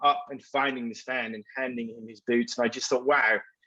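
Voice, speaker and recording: Bright and sharp in tone, a man with an English accent talks at a moderate pace in a medium pitch. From England. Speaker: advertising executive. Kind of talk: panel discussion.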